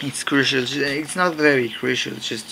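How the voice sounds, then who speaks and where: A man speaks at a fairly slow pace with a non-native accent. Noticeable background noise runs underneath. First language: not English. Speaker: crafting video maker. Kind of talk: tutorial. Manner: halting.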